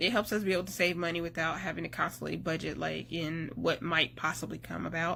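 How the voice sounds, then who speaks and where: At a moderate pace, a woman talks with a North Carolina accent. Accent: Southern US (North Carolina). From US South, North Carolina. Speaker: army spouse vlogger. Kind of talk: casual vlog talk.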